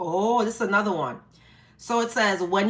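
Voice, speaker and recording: Here a woman talks with a New York accent at a medium pitch. Her pace is moderate and her pitch varies in an ordinary way. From New York, the Bronx. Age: 50s. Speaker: live-stream host. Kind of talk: casual live-stream chat. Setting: live stream. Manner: animated.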